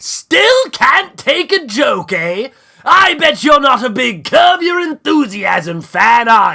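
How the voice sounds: In an affected character voice, a man talks somewhat slowly at an extraordinarily high pitch.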